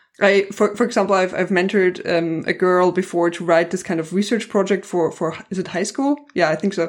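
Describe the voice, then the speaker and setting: A woman's medium-pitched voice with a German accent, ordinary pitch variation, a fairly quick pace and hardly any pauses. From Germany. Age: 20s. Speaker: science communicator. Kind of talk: interview conversation.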